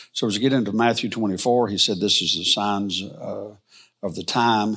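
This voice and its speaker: In a very clean recording with a silent background, a man with an American accent speaks at a moderate pace. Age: 60s. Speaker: Bible teacher. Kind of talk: lecture. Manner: halting.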